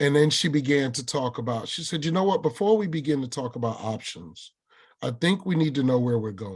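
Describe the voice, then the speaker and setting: Against a quiet background, a man with a northern US accent talks in an animated tone at a fairly high pitch, his somewhat breathy voice making very wide pitch swings. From New York. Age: 60s. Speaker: workshop presenter and army combat veteran. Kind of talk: webinar talk with personal storytelling. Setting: video webinar.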